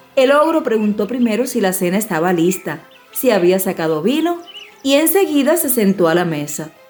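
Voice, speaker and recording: Music plays in the background as a woman speaks at a moderate pace. Her pitch is fairly high, with very wide pitch swings. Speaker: audiobook narrator. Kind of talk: dramatized audiobook narration.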